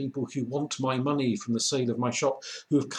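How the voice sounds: Fairly even intonation in a natural reading voice.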